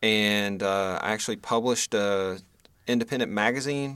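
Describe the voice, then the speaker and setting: A man's fairly low pitch in a plain, everyday voice at a moderate pace, on a very clean recording with a silent background. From Western North Carolina. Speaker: documentary filmmaker and professor. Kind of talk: interview conversation.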